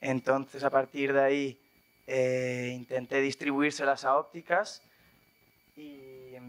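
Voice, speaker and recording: A man speaks very slowly, with long and frequent pauses, at a fairly high pitch for a man. His intonation stays flat and monotone while his loudness swings widely. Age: 20s. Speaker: startup founder. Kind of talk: panel interview. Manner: casual, hesitant with fillers.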